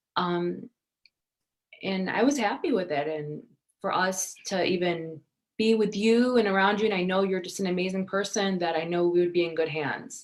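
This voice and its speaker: A woman with a Michigan accent speaks at a moderate pace and medium pitch, with ordinary pitch variation. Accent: Michigan American. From Detroit area, Michigan, US. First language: Arabic (Iraqi). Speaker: actress and model. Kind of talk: interview.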